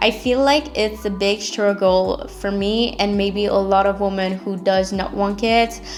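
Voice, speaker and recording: Music plays in the background as a woman with a French accent talks at a medium pitch. She goes at a fairly slow pace with hardly any pauses and fairly even intonation. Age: 20s. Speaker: podcaster. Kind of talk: casual monologue podcast. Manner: unscripted, unedited raw talk.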